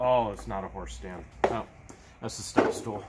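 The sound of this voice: Against faint background noise, a man speaks at a fairly low pitch and a moderate pace, with ordinary pitch variation.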